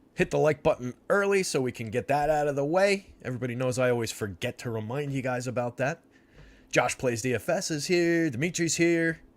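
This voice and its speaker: A man speaks in a normal speaking voice, fairly high-pitched, with lively intonation and an American accent. His pace is fairly quick, and the recording is very clean with a silent background. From New Jersey. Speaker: sports betting show host. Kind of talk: live stream commentary. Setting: live stream with chat. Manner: casual, filler-heavy.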